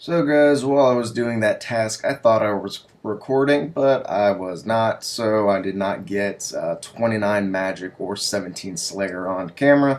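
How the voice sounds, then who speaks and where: Noticeable background noise runs behind a man speaking at a medium pitch with ordinary pitch variation. He keeps a fairly slow pace with hardly any pauses. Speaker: gaming YouTuber. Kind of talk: gameplay commentary. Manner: hesitant, many fillers.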